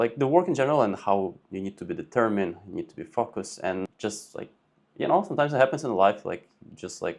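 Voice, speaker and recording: Talking very fast, a man swings widely in both pitch and loudness. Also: medium pitch for a man. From Ukraine. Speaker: real estate agent. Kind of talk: podcast interview.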